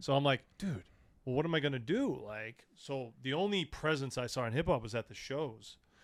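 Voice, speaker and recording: A man with an American accent has an unremarkable speaking voice at a medium pitch, with ordinary pitch variation. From New England (Massachusetts, southern New Hampshire). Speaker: hip hop show promoter. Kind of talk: casual podcast interview. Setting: studio.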